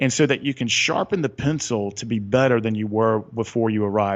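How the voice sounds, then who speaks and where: A man with a Southern US accent, fairly quick in pace, with ordinary pitch variation. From US South, Atlanta area. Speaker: author and retreat leader. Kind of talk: podcast interview. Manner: animated.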